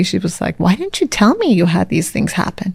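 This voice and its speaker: Using vocal fry, a woman with an American accent speaks at a medium pitch. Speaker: spiritual mentor and breathwork coach. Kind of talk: interview conversation.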